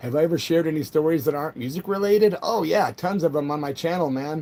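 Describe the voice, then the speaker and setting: This man talks at a fairly quick pace. His pitch is fairly high, with ordinary variation. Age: 60s. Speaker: punk rock musician and livestreamer. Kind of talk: casual live stream chat, reading viewer comments. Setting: solo live stream. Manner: animated.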